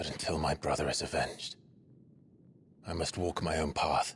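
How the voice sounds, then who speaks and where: A man puts on a character voice with a very deep, low pitch. He keeps a moderate pace. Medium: video game. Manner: grave, restrained.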